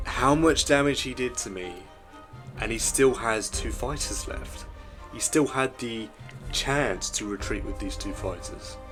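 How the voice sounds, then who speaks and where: The pace of the speech is fairly slow. Music plays in the background. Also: man. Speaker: strategy game commentator. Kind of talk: gameplay commentary.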